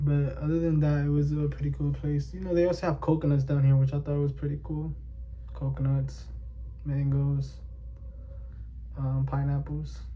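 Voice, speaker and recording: Long, frequent pauses break up a man's very deep, low voice, which stays monotone and flat at a moderate pace with audible room echo. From New York City (Bronx/Inwood), Dominican family. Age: 20s. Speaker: vlogger. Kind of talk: casual personal monologue. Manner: halting, many fillers.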